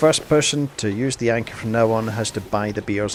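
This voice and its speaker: With a strong Scottish accent, a medium-pitched man speaks at a moderate pace with fairly even intonation over noticeable background noise. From Scotland. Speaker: gaming streamer. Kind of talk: casual chat.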